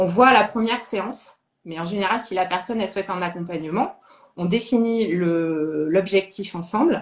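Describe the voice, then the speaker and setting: A woman speaks at a moderate pace in a medium pitch. Her pitch varies in an ordinary way. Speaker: sophrologist and medium. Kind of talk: interview chat. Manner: halting.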